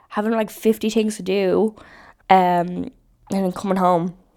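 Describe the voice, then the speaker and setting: This woman has a dark, mellow tone and a medium pitch, with fairly even intonation at a moderate pace. The recording is very clean, with a silent background. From Ireland. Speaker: vlogger and restaurant server. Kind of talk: casual chat.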